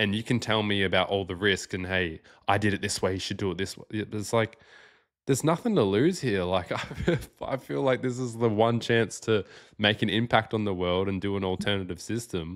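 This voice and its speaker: Pitch varies in an ordinary way as a plain, everyday voice talks at a fairly quick pace. Everything is very clean, the background silent. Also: man, fairly low pitch for a man. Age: 20s. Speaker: Bitcoin podcast host. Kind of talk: interview conversation.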